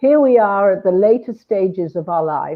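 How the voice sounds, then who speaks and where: With a British accent, a woman speaks at a moderate pace and uses ordinary pitch variation. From Britain. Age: 70s. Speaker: hypnotherapist. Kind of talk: interview conversation.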